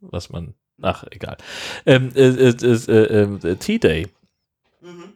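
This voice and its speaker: A man with a dark, mellow tone and medium pitch speaks at a very slow pace. His intonation is lively, broken by long, frequent pauses. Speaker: podcast co-host. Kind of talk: casual chat.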